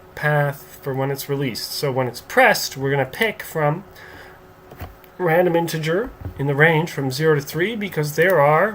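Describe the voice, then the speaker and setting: A man with a fairly high pitch speaks at a moderate pace and varies his pitch in an ordinary way, with noticeable background noise behind him. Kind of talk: software tutorial narration. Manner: casual, conversational.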